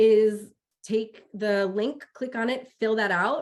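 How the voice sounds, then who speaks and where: A woman speaks in an unremarkable speaking voice. Her pitch varies in an ordinary way. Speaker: webinar presenter on prevention careers. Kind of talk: webinar presentation.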